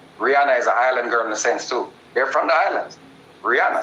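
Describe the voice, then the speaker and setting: A man with a Jamaican accent at a fairly quick pace, over noticeable background noise. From Jamaica, Spanish Town. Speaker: dancehall and hip hop artist. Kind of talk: interview. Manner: animated.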